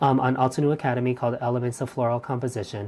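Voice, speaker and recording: Soft-spoken and very fast, a woman talks with a very deep, low pitch and a dark, mellow tone. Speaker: craft instructor streaming live. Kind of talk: live stream craft demo chat. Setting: live stream. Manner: hesitant, many fillers.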